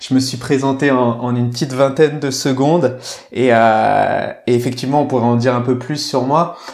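Audible room echo and noticeable background noise surround the voice. The intonation is monotone and flat. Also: man, medium pitch for a man, moderate pace. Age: 30s. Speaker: sports mental coach. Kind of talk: casual interview chat. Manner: halting, many repetitions.

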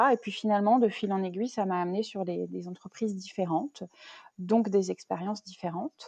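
A woman's medium-pitched voice with a dark, mellow tone, fairly even intonation and a moderate pace, dry and close with no echo. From Brittany, Rennes area. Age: 30s. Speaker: wine shop owner, former consultant. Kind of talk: interview, casual chat. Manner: hesitant, many fillers.

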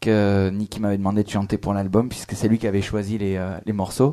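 A man's fairly low, dark, mellow voice on a very clean recording with a silent background. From France. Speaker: blues harmonica player and singer. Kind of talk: casual radio interview. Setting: live on stage with audience.

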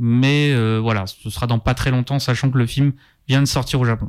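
A man with an ordinary speaking voice and fairly even intonation, in a very clean recording with a silent background. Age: 30s. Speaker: film journalist. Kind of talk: casual chat. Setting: studio.

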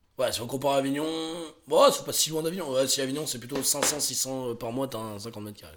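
A fairly high-pitched man at a fairly quick pace, with big swings in loudness, ordinary pitch variation and audible room echo. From France, Drôme (Montélimar). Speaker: podcast co-host. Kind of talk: casual chat.

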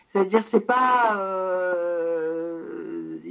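A woman's pitch varies in an ordinary way, with noticeable background noise in the recording. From Poland, moved to France at 6. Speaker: science journalist and author. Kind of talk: interview. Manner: halting.

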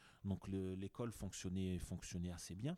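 A man with a dark, mellow tone and fairly low pitch speaks at a fairly slow pace with ordinary pitch variation, the sound dry and close with no echo. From France, Grenoble. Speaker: entrepreneur. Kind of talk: casual interview. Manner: halting with many repeated words.

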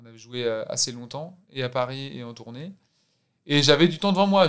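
This man has an ordinary speaking voice at a fairly high pitch, with ordinary pitch variation. He talks at a fairly quick pace. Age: 30s. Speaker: actor. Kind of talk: casual chat.

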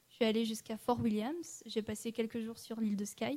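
A woman speaks at a moderate pace in a fairly high pitch with a dark, mellow tone. Her voice is somewhat breathy, with fairly even intonation. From French Alps (Annecy). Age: 20s. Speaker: political science student and traveler. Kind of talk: interview. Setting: studio.

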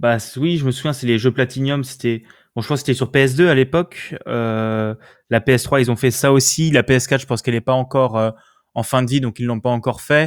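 In an ordinary speaking voice, a man talks at a moderate pace with fairly even intonation. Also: very clean recording, silent background. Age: young. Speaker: podcast host, student. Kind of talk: casual chat.

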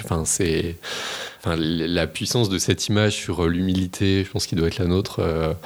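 A man speaks in a very deep, low voice at a fairly quick pace. His intonation stays fairly even. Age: 30s. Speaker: magistrate. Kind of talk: casual chat.

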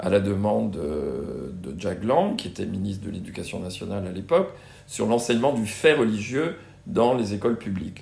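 A man talks at a fairly slow pace in a fairly low pitch. Audible room echo is present. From Brittany, France. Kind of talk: interview. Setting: in-person interview at a student residence. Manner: hesitant, many fillers and repetitions.

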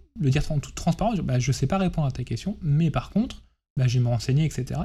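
Speaking at a very fast pace, a man uses lively intonation in a fairly high, somewhat breathy voice with a dark, mellow tone. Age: 30s. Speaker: chief information security officer. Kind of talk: interview. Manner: hesitant, many fillers.

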